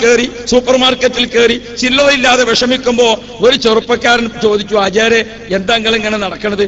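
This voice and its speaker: A man talks at an extremely high pitch. Noticeable background noise runs underneath. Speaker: Islamic preacher. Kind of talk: religious sermon.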